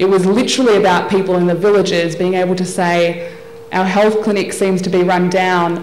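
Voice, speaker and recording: In an Australian accent, a woman talks at a moderate pace with monotone, flat intonation, audible room echo, and noticeable background noise. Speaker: development specialist and lawyer. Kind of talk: formal speech. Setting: workshop audience at convention centre.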